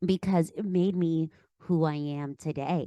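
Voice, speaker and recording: In a Philadelphia accent, a woman speaks at a fairly low pitch with a dark, mellow tone, the sound dry and close with no echo and the background quiet. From Pennsylvania, Philadelphia area. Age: 30s. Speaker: life coach. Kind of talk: podcast interview. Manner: animated.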